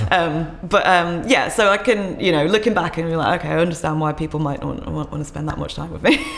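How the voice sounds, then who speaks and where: A woman with a fairly low pitch and ordinary pitch variation talks at a very fast pace with hardly any pauses and big swings in loudness, amid audible room echo and noticeable background noise. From southern England, Kent. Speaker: singer-songwriter and violinist. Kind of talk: casual podcast interview. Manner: hesitant, many fillers.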